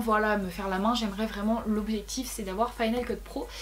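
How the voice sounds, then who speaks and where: Noticeable background noise runs through the clip. Audible room echo is also present. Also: woman. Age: 20s. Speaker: YouTuber. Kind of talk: casual vlog. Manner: fast.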